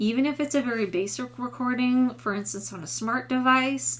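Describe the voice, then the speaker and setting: A woman with a Midwestern accent speaks at a moderate pace. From US Midwest. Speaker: voice teacher. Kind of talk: tutorial.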